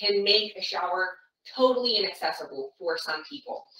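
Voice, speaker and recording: A woman's voice carries audible room echo. The background stays quiet. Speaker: caregiver trainer. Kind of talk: tutorial. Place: bathroom. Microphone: camera far.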